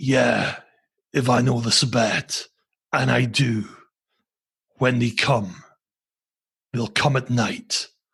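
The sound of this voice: In a put-on character voice, a man speaks at a medium pitch, gravelly and raspy. His pace is very slow, broken by long, frequent pauses.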